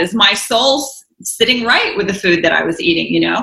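With an American accent, a woman has an unremarkable speaking voice, pitched fairly high with lively intonation. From US South. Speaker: author and vegan advocate. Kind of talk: interview.

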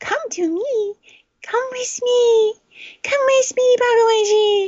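A put-on character voice, extremely high in pitch, moves at a fairly slow pace. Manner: eerie, beckoning.

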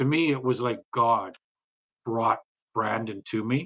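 A man with a Canadian accent speaks at medium pitch with fairly even intonation. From British Columbia, Canada (Bella Bella, then Richmond). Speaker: podcast host. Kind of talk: casual interview chat.

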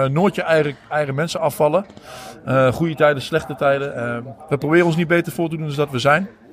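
A man's fairly high voice at a very fast pace, fairly even intonation, long and frequent pauses, noticeable background noise. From Deventer, eastern Netherlands. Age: 40s. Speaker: football supporter. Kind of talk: casual interview. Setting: walking under the stadium stand.

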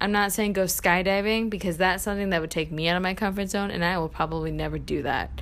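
Audible room echo carries a woman's medium-pitched voice as she talks at a very fast pace with fairly even intonation. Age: 20s. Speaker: podcast host, college student. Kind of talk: casual solo podcast monologue. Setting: home apartment. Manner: chatty, lots of filler 'um'.

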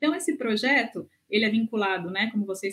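Her voice somewhat breathy and fairly high, this woman talks at a moderate pace. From Brazil. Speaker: gerontologist and researcher. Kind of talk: interview. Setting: remote recording from home.

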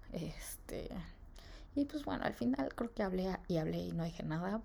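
With a Mexican accent, a woman is talking. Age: 20s. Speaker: podcaster. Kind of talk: personal monologue. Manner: casual, rambling with fillers.

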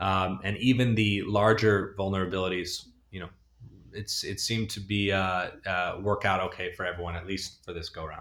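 The man's fairly low voice stays monotone and flat. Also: moderate pace. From Northern California. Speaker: tech entrepreneur. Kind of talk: interview. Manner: hesitant, many fillers.

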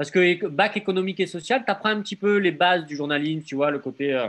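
A man speaks fairly quickly in a high pitch with a southern French accent. His tone is bright and sharp, with lively intonation. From Marseille, southern France. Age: 30s. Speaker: blogger and gallery owner. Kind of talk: casual interview.

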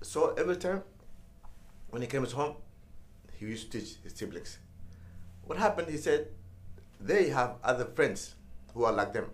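With a Somali accent, a man with a fairly high pitch and vocal fry talks at a moderate pace, pausing long and often. His pitch swings very widely and his loudness rises and falls sharply. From Somalia, Mogadishu. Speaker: former ambassador and author. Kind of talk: interview.

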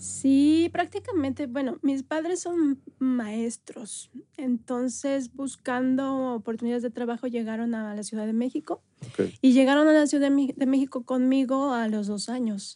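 At a fairly slow pace, a woman talks in a high pitch with a dark, mellow tone and ordinary pitch variation. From northern Mexico, Chihuahua. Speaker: dancer and dance company director. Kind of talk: interview.

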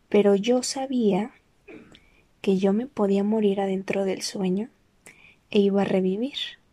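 A soft-spoken woman's dark, mellow voice, fairly slow and fairly even in intonation, with long, frequent pauses. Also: medium pitch for a woman. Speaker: personal audio diarist. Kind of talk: personal monologue.

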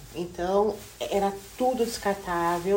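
Noticeable background noise and audible room echo surround the voice. A woman speaks at a fairly slow pace with fairly even intonation. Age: 40s. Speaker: hairdresser and educational counselor. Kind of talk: casual chat.

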